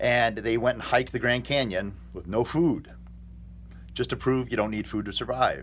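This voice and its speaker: A man speaks in an American accent at a medium pitch and a moderate pace. His fairly even intonation carries vocal fry. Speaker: fitness vlogger. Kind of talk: casual vlog monologue. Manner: hesitant, filler-heavy.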